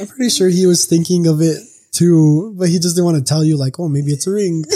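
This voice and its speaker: This man has a high pitch and a dark, mellow tone, and he speaks at a fairly quick pace with fairly even intonation. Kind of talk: casual chat.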